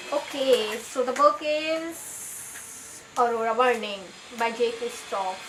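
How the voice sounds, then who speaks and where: Over noticeable background noise, a woman talks in a high pitch. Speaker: booktuber. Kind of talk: book haul video.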